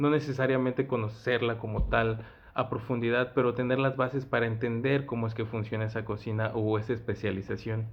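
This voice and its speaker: In a central Mexican accent, a man speaks fairly quickly at a medium pitch, with monotone, flat intonation and hardly any pauses. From Mexico, Mexico City. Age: 20s. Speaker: chef. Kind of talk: interview answers.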